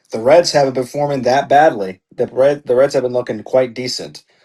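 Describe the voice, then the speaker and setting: A man's dark, mellow voice at medium pitch, fairly quick in pace, with ordinary pitch variation. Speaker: podcast co-host. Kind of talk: casual chat. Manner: animated; loud.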